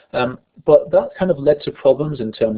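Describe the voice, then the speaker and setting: With vocal fry and a fairly high pitch, a man speaks with very wide pitch swings. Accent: northern English. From northern England. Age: 30s. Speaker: education researcher. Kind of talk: online lecture. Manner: fast.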